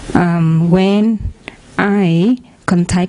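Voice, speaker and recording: Against noticeable background noise, a woman with a Vietnamese accent talks at a medium pitch with fairly even intonation. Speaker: audience member asking a question. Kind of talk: question in a dhamma discussion. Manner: halting, hesitant.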